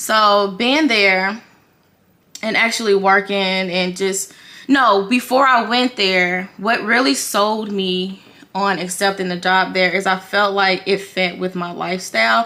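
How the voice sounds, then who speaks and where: This woman speaks at a fairly slow pace, her medium-pitched voice carrying a bright, sharp tone. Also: ordinary pitch variation. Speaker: beauty vlogger and makeup retail worker. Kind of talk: casual vlog talk while doing makeup. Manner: halting, stumbling while multitasking.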